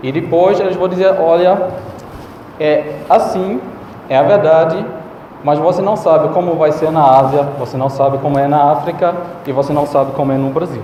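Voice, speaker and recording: With noticeable background noise and audible room echo, the speech goes at a moderate pace with ordinary pitch variation and long, frequent pauses. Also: man, fairly high pitch for a man. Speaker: conference speaker, neuroscientist. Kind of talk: conference talk. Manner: halting, with fillers.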